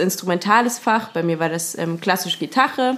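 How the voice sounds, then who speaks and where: Against noticeable background noise, a woman with a fairly low pitch speaks at a moderate pace. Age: 20s. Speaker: trained singer. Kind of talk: casual chat.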